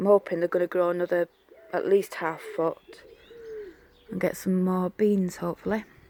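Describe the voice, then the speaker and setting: With a Yorkshire accent, a woman at medium pitch speaks at a moderate pace in a flat monotone, with long, frequent pauses, in a dry, close recording with no echo. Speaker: gardening vlogger. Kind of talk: casual garden tour vlog. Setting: outdoors in garden. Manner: chatty, informal.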